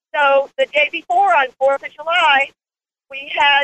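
This woman's voice sits high in pitch. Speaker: caller, program client. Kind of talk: phone-in testimony. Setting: phone call while driving. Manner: excited, effusive.

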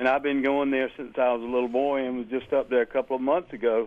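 This man speaks with an American accent at a medium pitch. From Pennsylvania. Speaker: caller. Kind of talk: call-in comment. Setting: phone call. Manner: halting.

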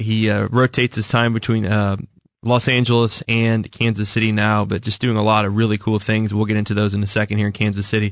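A man with a normal speaking voice talks in an American accent at a medium pitch. His pace is fairly quick. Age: 30s. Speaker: radio host. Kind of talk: interview. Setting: radio studio.

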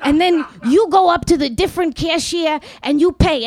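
Amid crowd noise in the background, a woman with a New York accent speaks at a moderate pace, her extremely high pitch showing ordinary variation. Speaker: storyteller and writer. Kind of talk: live storytelling. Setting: stage with audience. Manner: halting, many fillers.

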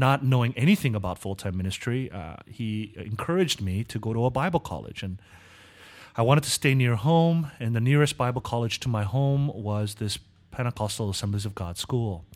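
On a very clean recording with a silent background, a man with a Californian accent speaks fairly quickly with lively intonation. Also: medium pitch for a man. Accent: American (California). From Southern California (Korean American). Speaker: seminary professor. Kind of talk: interview.

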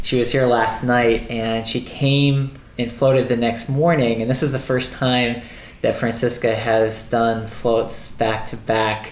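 Against noticeable background noise, a man at medium pitch speaks in a monotone, flat intonation at a fairly slow pace. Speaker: podcast host. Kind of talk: casual chat.

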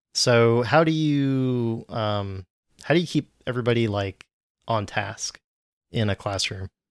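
At a fairly slow pace, a man with a medium pitch and ordinary pitch variation speaks in an unremarkable speaking voice, the sound dry and close with no echo on a very clean recording with a silent background. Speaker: podcast host, JavaScript developer. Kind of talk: casual chat.

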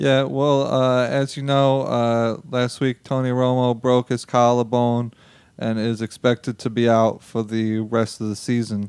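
A man talks at a fairly slow pace at medium pitch. His intonation is monotone and flat. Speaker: guest football analyst. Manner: halting, plain, stating the obvious.

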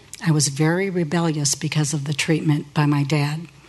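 Her voice is very deep and low, with an American accent. This woman talks at a fairly quick pace with fairly even intonation. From Northeast Ohio, US. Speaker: church member sharing testimony. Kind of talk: testimony. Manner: read from script.

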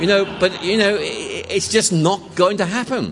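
A man talks at a moderate pace. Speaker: lecturer on religion and philosophy. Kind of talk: lecture. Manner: conversational with hesitations.

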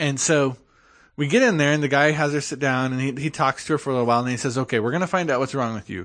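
An ordinary speaking voice from a man, fairly high pitch, ordinary pitch variation, quiet background. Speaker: podcast co-host. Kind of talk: casual chat.

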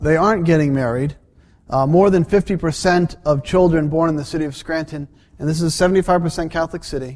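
With an ordinary speaking voice, a man speaks at a fairly high pitch with fairly even intonation. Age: 40s. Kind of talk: lecture.

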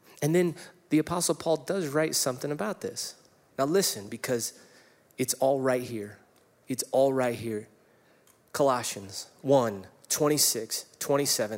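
Pausing long and often, a man speaks fairly slowly at a medium pitch with ordinary pitch variation. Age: 40s. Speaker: pastor. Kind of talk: sermon. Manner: animated.

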